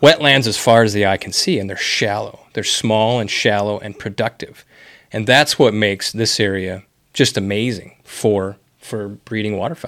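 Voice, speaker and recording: With a plain, everyday voice and an American accent, a man speaks at a moderate pace in a fairly low pitch with ordinary pitch variation, on a very clean recording with a silent background. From Wisconsin. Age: 40s. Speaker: podcast host. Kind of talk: casual interview. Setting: office.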